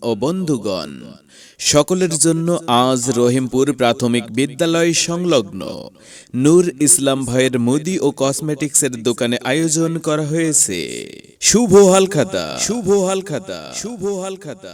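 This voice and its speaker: A man with a fairly high pitch uses lively intonation in a normal speaking voice. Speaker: voice artist. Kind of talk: loudspeaker shop announcement.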